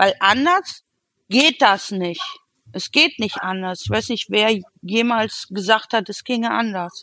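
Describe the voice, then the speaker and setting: Speaking at a very slow pace, a woman has a fairly high pitch, a bright, sharp tone and lively intonation. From Cologne, Germany. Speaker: photographer. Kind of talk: casual chat. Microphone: sync problems after minute 22.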